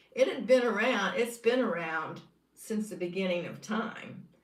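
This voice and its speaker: Against audible room echo, a woman speaks at a fairly slow pace with ordinary pitch variation. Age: 70s. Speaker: YouTuber sharing carnivore diet experience. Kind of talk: casual livestream monologue. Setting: live stream reading comments. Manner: hesitant with fillers.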